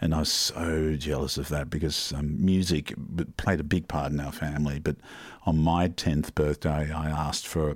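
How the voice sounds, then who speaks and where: Vocal fry colors a man's very deep, low voice as he keeps a moderate pace and fairly even intonation. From Denmark and the Netherlands, then Sydney from age 10. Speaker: music venue owner. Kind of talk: radio interview. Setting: radio studio. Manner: halting.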